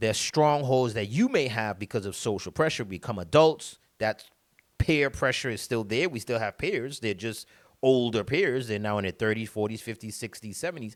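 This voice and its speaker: Speaking in a Caribbean accent, a man uses a medium pitch and ordinary pitch variation at a moderate pace. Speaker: motivational speaker. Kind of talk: motivational talk. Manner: halting, many repetitions.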